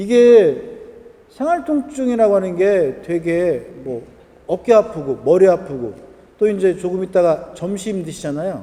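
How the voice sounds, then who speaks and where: Pitch swings very widely in this voice with a Chungcheong accent. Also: man. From Korea, Jochiwon (Chungcheong region). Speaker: lecturer on acupressure points. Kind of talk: lecture. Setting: event hall with live audience. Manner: conversational, asks audience questions.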